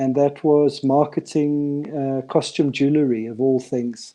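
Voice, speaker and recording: Over a quiet background, a man speaks very slowly with a fairly high pitch, a dark, mellow tone and fairly even intonation. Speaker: entrepreneur. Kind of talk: interview. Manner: soft-spoken; halting.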